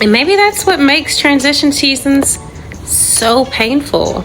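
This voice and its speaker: A soft-spoken woman talks at a very slow pace with lively intonation while music plays in the background. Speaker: faith podcast host. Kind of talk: inspirational poetic reading.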